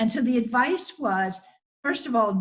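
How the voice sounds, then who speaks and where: Somewhat breathy voice with lively intonation. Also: woman. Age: 60s. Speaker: psychologist. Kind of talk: webinar talk.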